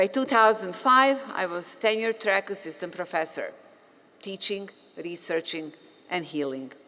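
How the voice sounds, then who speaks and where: In a Bosnian accent, a woman speaks with medium pitch and lively intonation. Her tone is bright and sharp. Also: moderate pace. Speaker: physician and professor, commencement speaker. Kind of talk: commencement speech. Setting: stage with audience.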